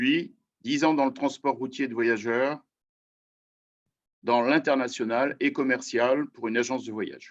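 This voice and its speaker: With long, frequent pauses, a man talks at a fairly slow pace, keeping a medium pitch and fairly even intonation. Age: 60s. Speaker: mayor. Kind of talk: testimony. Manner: hesitant.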